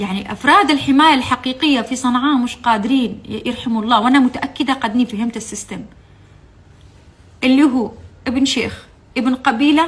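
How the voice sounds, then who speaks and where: She speaks at a medium speed. Her voice sits high for a woman. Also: ordinary pitch variation. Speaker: former TV channel employee. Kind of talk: testimony. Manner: impassioned; halting.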